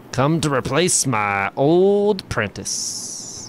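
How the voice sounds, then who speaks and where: A man speaks very slowly in a put-on character voice, pitched fairly high. Background noise is clearly audible. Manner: pensive.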